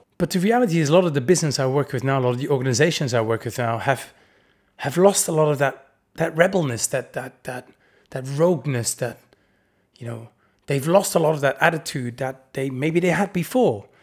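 A man with a Dutch accent, fairly high-pitched and somewhat breathy, talking at a fairly quick pace with lively intonation on a very clean recording with a silent background. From Netherlands. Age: 40s. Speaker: podcast host. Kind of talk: solo podcast monologue.

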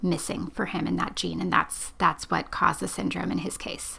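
A woman speaks with vocal fry. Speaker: podcast host, genetic counselor. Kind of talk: interview.

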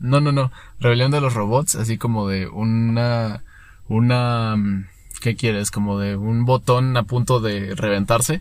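A man with a normal speaking voice talks at a medium pitch and a fairly slow pace, his intonation fairly even, in a very clean recording with a silent background. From Mexico, Querétaro. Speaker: podcast co-host. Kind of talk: casual chat.

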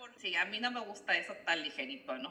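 Speaking at a moderate pace, a woman lets her pitch swing very widely. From Ensenada, Baja California, Mexico. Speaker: winemaker. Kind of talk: interview.

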